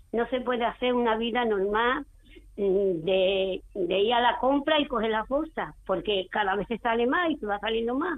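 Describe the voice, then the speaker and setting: An ordinary speaking voice with lively intonation at a fairly slow pace. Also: woman. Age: 60s. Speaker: caller. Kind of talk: call-in question. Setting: phone call.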